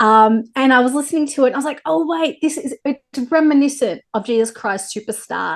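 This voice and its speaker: A woman with a strong Australian accent speaks in an enthusiastic tone. The background is quiet. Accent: thick Australian. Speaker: interviewer. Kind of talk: interview.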